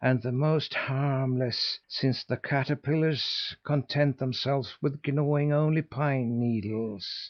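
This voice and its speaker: In a put-on character voice full of hissing, a man talks at a fairly slow pace with hardly any pauses. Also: fairly high pitch for a man. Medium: read story.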